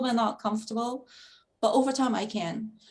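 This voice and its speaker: Somewhat breathy, the speech moves at a fairly quick pace. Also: woman. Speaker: foundation founder and lecturer. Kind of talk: interview. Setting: video call. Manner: halting, stuttering.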